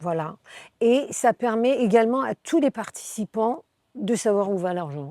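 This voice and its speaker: On a very clean recording with a silent background, a woman speaks with a dark, mellow tone at a fairly high pitch. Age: 60s. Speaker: charity president. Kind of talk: interview. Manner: halting, many fillers and repetitions.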